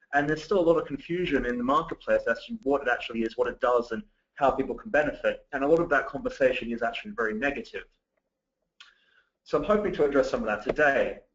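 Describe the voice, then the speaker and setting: A man with a slight British accent, fairly high pitch, lively intonation and a very fast pace. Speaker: digital marketing director. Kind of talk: webinar presentation. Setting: webinar call.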